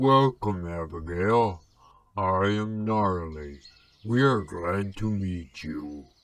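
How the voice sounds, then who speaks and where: A rumbling put-on character voice at a very slow pace. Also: man, very deep, low pitch for a man. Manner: slow, welcoming.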